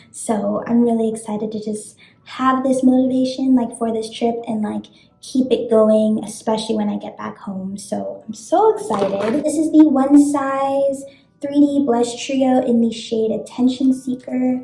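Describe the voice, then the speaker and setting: A woman with an American accent, high-pitched, fairly slow, fairly even intonation, music in the background. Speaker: beauty vlogger. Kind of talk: casual chat. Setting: hotel bathroom.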